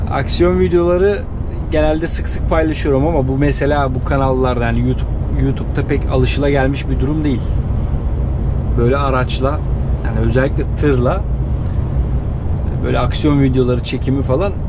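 A man speaks at a moderate pace with ordinary pitch variation and long, frequent pauses, against loud background noise. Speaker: truck driver vlogger. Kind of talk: casual vlog chat. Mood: relaxed, amused. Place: car.

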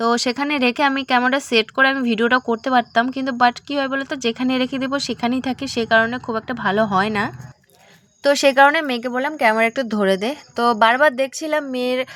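A woman talks in a high pitch with fairly even intonation. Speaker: vlogger. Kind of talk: casual vlog talk to camera. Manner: halting, self-correcting.

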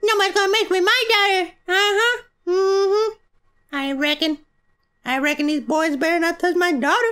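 A female-sounding put-on character voice at an extremely high pitch, delivered at a moderate pace. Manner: tough, protective, sassy.

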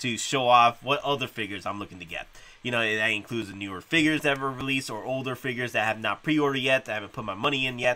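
This man talks very fast, and his pitch varies in an ordinary way. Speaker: collector channel host. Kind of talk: casual vlog chat. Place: home room. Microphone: studio mic.

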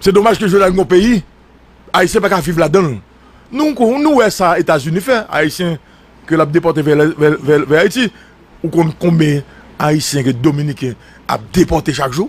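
A man's high voice with lively intonation, moderate pace, long and frequent pauses, and a dry, echo-free sound. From Haiti. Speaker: news commentator. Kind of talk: political commentary. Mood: indignant, critical. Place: studio. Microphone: studio mic.

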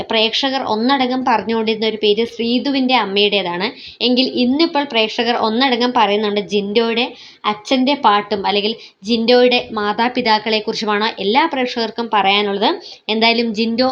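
A woman with an unremarkable speaking voice, fairly high pitch and fairly even intonation. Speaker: YouTube vlogger, reality show commentator. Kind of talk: vlog commentary.

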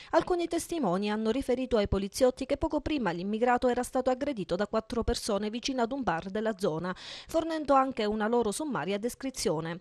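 Very fast and high-pitched, a woman's voice swings very widely in pitch, recorded with a dry, close sound and no echo. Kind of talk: newsreading. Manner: formal; brisk, even and impersonal, like a local TV news bulletin.

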